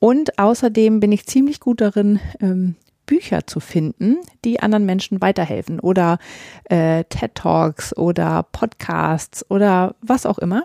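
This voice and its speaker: At a fairly slow pace, a woman's dark, mellow voice at medium pitch carries lively intonation, recorded with a dry, close sound and no echo. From northern Germany. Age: 40s. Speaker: podcast host and romance novelist. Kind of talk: solo podcast monologue. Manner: many filler sounds.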